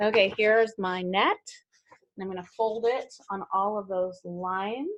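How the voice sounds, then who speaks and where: Speaking in an unremarkable speaking voice, a woman talks at a fairly slow pace. Her pitch is medium and her intonation fairly even. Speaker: teacher. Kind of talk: tutorial.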